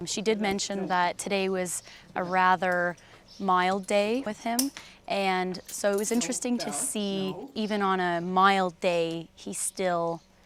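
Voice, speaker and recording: This woman has a normal speaking voice at a medium pitch. She talks at a fairly slow pace with fairly even intonation. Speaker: horse trainer.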